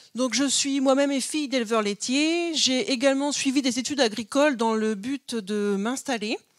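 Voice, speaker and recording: Ordinary pitch variation in a woman's speech. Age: 40s. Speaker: aspiring goat farmer. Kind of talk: project pitch. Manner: hesitant, many fillers.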